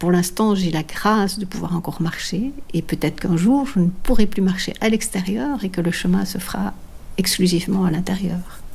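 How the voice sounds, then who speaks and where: The woman's pitch is medium, with ordinary pitch variation. She speaks at a moderate pace. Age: 60s. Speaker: long-distance walker and author. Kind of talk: personal testimony. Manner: halting, many hesitations.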